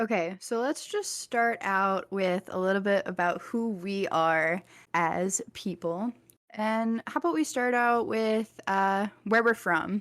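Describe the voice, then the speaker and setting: Very slowly, someone speaks with a slight Texan accent on a very clean recording with a silent background. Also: woman, medium pitch for a woman, ordinary pitch variation. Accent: slight Texas accent picking up. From Virginia, Richmond. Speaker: college student podcaster. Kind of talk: casual chat.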